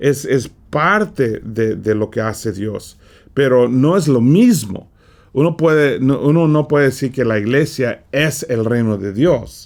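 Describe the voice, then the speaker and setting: A man speaks very slowly at a medium pitch with lively intonation, in a very clean recording with a silent background. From California, US. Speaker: preacher. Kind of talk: Bible study lesson. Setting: studio. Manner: halting, frequent repetitions.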